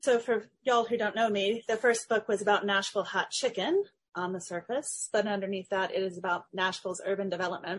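Speaking with an American accent, a woman moves at a fairly quick pace with hardly any pauses, her pitch medium. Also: fairly even intonation. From Middle Tennessee. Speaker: historian and author. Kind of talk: interview.

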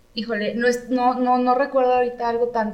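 Speaking in a room with audible echo, a woman uses a fairly high pitch. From Mexico, San Luis Potosí. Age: 30s. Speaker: architect and designer. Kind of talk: casual interview.

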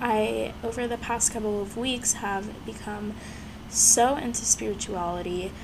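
A woman with an American accent, at a medium pitch, a fairly slow pace and fairly even intonation, with noticeable background noise and audible room echo. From Houston, Texas. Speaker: podcast host. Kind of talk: casual solo podcast monologue.

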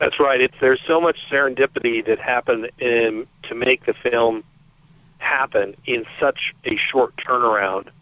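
In an ordinary speaking voice, a man talks at a fairly slow pace with medium pitch and fairly even intonation. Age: 50s. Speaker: magazine editor. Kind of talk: interview.

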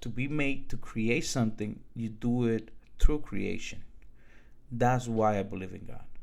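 The speaker talks at a fairly slow pace in a Dominican accent with ordinary pitch variation. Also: man, medium pitch for a man. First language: Spanish. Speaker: podcaster. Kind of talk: monologue storytelling.

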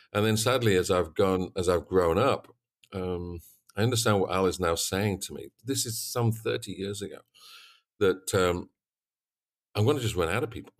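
A man with a Yorkshire accent and a fairly low pitch speaks at a moderate pace, with ordinary pitch variation. He leaves long, frequent pauses in a very clean recording with a silent background. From East Yorkshire, England. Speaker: swine veterinarian and consultant. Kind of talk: interview. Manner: talkative.

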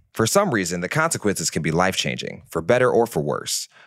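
On a very clean recording with a silent background and a dry, close sound with no echo, a man with an American accent and a fairly low, fry-tinged voice talks very fast with very wide pitch swings. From Detroit, US. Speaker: podcast host. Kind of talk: interview conversation; scripted intro.

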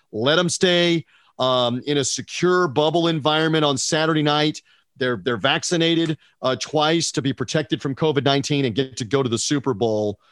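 In a dry, close recording with no echo, a man with an unremarkable speaking voice talks at a moderate pace and fairly high pitch, with ordinary pitch variation. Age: 50s. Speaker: sports radio broadcaster. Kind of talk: casual sports talk interview.

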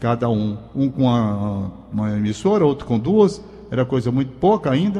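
Noticeable background noise behind a man's speech, his pitch swinging very widely. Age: 70s. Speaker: radio and TV veteran. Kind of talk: casual radio chat.

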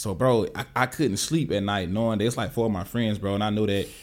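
A man speaks with a Southern US accent on a very clean recording with a silent background. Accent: country Southern US. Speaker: tech professional and wealth coach. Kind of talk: casual interview chat. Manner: animated, casual.

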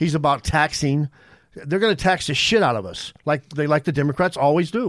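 A man's plain, everyday voice, a plain, everyday voice at a fairly high pitch for a man, fairly quick with lively intonation, in a very clean recording with a silent background and a dry, close sound with no echo. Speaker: podcast guest. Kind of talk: casual chat. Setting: studio.

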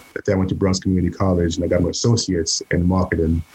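This man's voice is very deep and low. Its tone is dark and mellow, and somewhat breathy. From Saint Lucia. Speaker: chef. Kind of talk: casual chat.

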